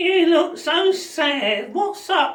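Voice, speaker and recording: In an extremely high pitch, a woman performs a put-on character voice. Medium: solo performance.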